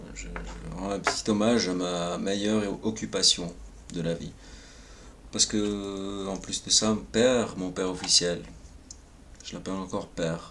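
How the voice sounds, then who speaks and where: A soft-spoken man talks at a fairly slow pace, his loudness swinging widely, with long, frequent pauses. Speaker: vlogger. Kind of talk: personal monologue. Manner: hesitant.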